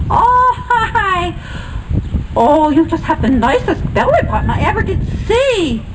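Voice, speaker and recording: Over loud background noise, a put-on character voice speaks at an extremely high pitch and a fairly slow pace. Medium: read story. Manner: silly, playful.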